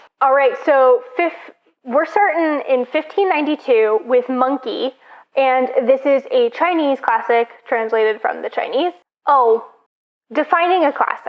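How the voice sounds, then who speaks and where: A woman's high voice with lively intonation at a fairly slow pace. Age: 30s. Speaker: booktuber. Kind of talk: casual vlog monologue. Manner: casual, many filler words.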